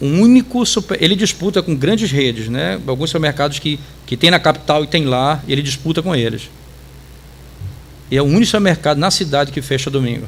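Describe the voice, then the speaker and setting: A man speaks fairly quickly at a fairly high pitch with lively intonation, amid noticeable background noise. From Brazil, interior of Pará (Tucuruí). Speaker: pastor. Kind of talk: Bible study teaching.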